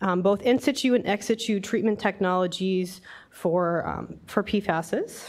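A woman speaks at a fairly slow pace in a slightly mellow tone, her pitch medium with ordinary variation.

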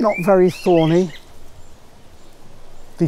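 A man speaks at a fairly slow pace. His tone is dark and mellow.

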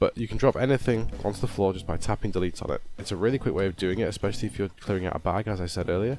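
Mumbling at a very fast pace with hardly any pauses, a man with a fairly low pitch and ordinary pitch variation talks over music in the background. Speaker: gaming video creator. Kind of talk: gameplay tutorial narration. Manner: mumbly.

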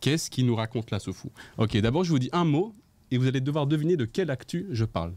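A man's dark, mellow tone at a fairly quick pace. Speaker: livestream show host. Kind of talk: casual live chat show. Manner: animated. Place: studio. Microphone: studio mic.

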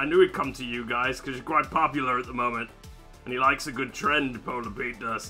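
A very fast put-on character voice over clear music in the background. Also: man, medium pitch for a man. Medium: role play. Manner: teasing, playful.

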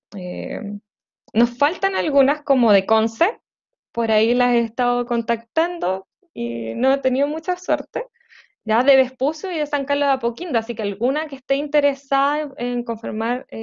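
A woman with a Chilean accent, high-pitched, with ordinary pitch variation and a moderate pace. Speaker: community coordinator. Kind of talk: online meeting moderation. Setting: video call.

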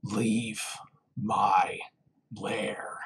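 This put-on character voice sits at a low pitch and sounds raspy. It bellows. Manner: cold, chilling, ancient.

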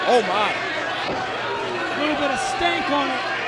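Very slow pace, loud background noise, and a dry sound with no echo. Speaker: wrestling commentator. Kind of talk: live wrestling commentary. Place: hall. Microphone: headset.

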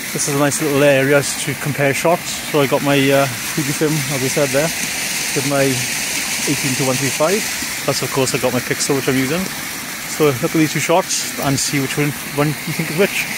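Loud background noise sits behind a man's voice. The sound itself is dry, with no echo. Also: moderate pace. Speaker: photography vlogger. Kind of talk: casual vlog chat. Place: forest. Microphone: phone near.

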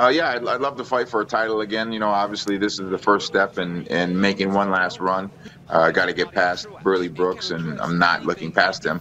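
Over light background noise, a man with an American accent talks fairly quickly in a fairly low voice with ordinary pitch variation. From Minnesota. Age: 30s. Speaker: professional boxer. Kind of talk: interview. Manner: halting. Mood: relaxed, friendly. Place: home room. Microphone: video call.

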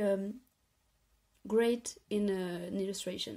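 With a French accent, a woman speaks somewhat breathily at a very slow pace, with ordinary pitch variation over a quiet background. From France. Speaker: illustrator vlogger. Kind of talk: casual talk to camera. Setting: home bedroom. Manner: hesitant. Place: home room. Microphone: phone near.

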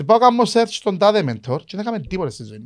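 A man's pitch swings very widely as he speaks. The background is quiet. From Cyprus. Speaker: podcast host. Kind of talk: casual interview chat. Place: studio. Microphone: studio mic.

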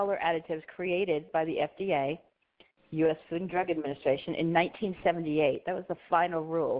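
This woman has an unremarkable speaking voice with fairly low pitch. Her intonation is fairly even and her pace moderate. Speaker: compliance consultant, presenter. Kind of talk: webinar presentation.

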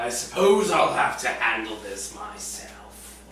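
A man puts on a character voice at a medium pitch and a fairly slow pace. Clear background noise and a slight echo are present. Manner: resentful, sneering.

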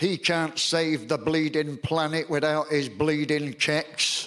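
With a Salford accent, a man speaks at a very slow pace in a fairly high pitch. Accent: Salford, northern English. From Salford, England. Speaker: performance poet. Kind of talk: poetry reading. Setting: live theatre audience. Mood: wry, humorous. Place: home room.

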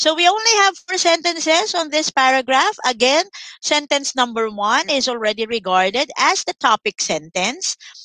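A woman speaks in a raised, projected voice with a high pitch. Her tone is bright and sharp, with very wide pitch swings. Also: moderate pace, quiet background, dry sound with no echo. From Philippines. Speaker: online English tutor for grade 7. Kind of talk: online lesson tutorial. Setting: live online class with screen sharing. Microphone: headset.

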